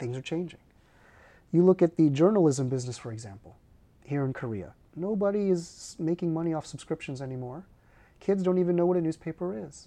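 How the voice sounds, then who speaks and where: The voice has a dark, mellow tone and a Californian accent, with lively intonation and big swings in loudness. It moves at a fairly quick pace yet has long, frequent pauses. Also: man. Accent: Californian American English. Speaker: corporate advisor and professor. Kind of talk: interview conversation. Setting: studio.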